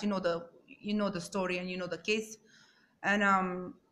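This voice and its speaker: Medium-pitched female speech in a non-native accent. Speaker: YouTuber true crime commentator. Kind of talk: casual vlog commentary. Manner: halting, many fillers.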